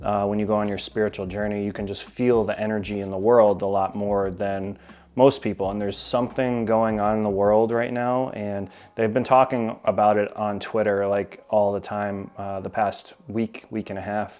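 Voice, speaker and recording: A man speaks at a moderate pace and a fairly low pitch. His intonation is monotone and flat. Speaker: YouTuber on narcissism. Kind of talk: casual vlog talk.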